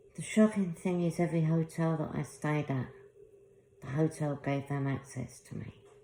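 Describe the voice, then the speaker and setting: A woman with a London accent and a very deep, low pitch. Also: ordinary pitch variation, moderate pace. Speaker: video blogger. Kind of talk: personal testimony monologue.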